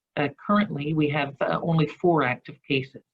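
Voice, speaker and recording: A woman with a Newfoundland accent, very deep and low in pitch, at a fairly quick pace. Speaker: provincial government representative. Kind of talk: webinar presentation. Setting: video call. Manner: halting, many fillers.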